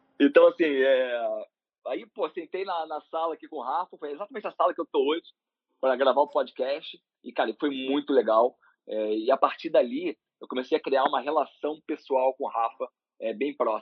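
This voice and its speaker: A man speaks in an ordinary speaking voice at a moderate pace, his pitch fairly high with ordinary variation. His loudness swings widely. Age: 40s. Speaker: managing director of a marketing agency. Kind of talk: casual interview.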